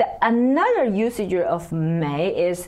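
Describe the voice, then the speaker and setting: A woman with a Chinese accent speaks at a very slow pace over noticeable background noise. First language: Mandarin Chinese. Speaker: Chinese language teacher. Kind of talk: language lesson. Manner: hesitant, many fillers.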